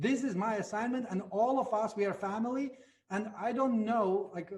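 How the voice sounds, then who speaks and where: Talking at a fairly slow pace, a man with a Latvian accent uses a high pitch and ordinary pitch variation. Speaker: network marketing leader. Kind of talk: motivational talk.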